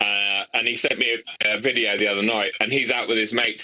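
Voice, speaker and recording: A man with an English accent speaks at a moderate pace. His fairly low voice stays monotone and flat. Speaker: YouTuber. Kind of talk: casual chat.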